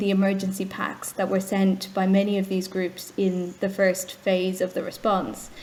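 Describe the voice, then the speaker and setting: A woman with an Irish accent talks at a fairly quick pace in a medium pitch, with noticeable background noise behind her. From Ireland. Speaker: charity executive. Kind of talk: interview.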